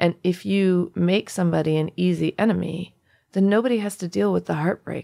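This is a plain, everyday voice with an American accent, moving at a fairly quick pace. Pitch varies an ordinary amount, and the sound is dry and close with no echo. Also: woman, fairly low pitch for a woman. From US, Indian American family. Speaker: author and illustrator. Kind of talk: interview conversation.

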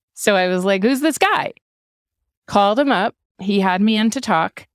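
Speaking with an American accent, a woman keeps a fairly quick pace. The recording is very clean with a silent background, dry and close with no echo. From US Northeast, Hanover, New Hampshire. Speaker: writer and podcaster. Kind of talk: casual chat.

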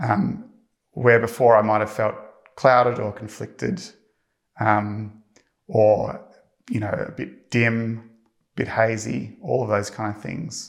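Speaking very slowly, a man uses a fairly low pitch with ordinary pitch variation. He leaves long, frequent pauses. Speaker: church member giving testimony. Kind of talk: testimony. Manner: hesitant, filler-heavy.

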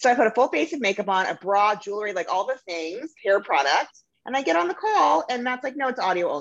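The speech runs at a very fast pace with hardly any pauses and very wide pitch swings. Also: woman. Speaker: marketing agency founder. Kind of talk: casual interview. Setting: audio-only recording. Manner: casual, profane.

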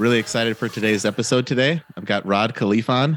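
A man with a plain, everyday voice speaks at a fairly quick pace with ordinary pitch variation, in a very clean recording with a silent background and a dry, close sound with no echo. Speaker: podcast host and real estate investor. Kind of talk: casual interview chat.

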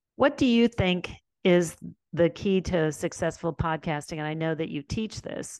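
A woman's voice sits fairly low in pitch at a moderate pace. The sound is dry and close with no echo, over a quiet background. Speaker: podcast host and community founder. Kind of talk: interview. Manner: animated.

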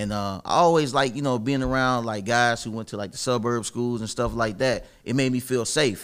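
With an American accent, someone speaks in a normal speaking voice at a moderate pace, with ordinary pitch variation and hardly any pauses. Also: man, medium pitch for a man. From Dayton, Ohio. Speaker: real estate wholesaler. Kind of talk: casual interview.

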